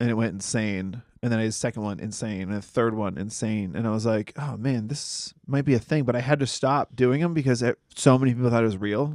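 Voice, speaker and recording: A man with an American accent has an unremarkable speaking voice at medium pitch and ordinary pitch variation. He speaks at a fairly quick pace, with a dry, close sound and no echo. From Massachusetts. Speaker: comedian and podcast co-host. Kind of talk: casual chat.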